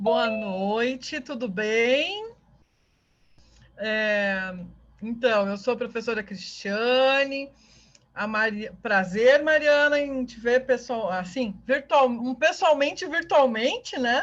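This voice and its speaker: Speaking in a southern Brazilian accent, a woman uses a high pitch and lively intonation at a very slow pace. The background is quiet. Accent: southern Brazilian (gaúcho). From southern Brazil (Rio Grande do Sul). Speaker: university professor. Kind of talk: online lecture.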